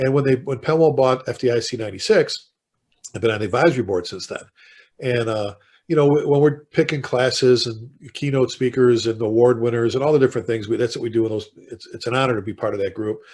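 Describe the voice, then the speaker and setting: This man talks very fast with a Chicago accent and a somewhat breathy voice. His pitch is medium, with ordinary variation. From South Side Chicago. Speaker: fire chief and author. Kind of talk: podcast interview, storytelling. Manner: animated.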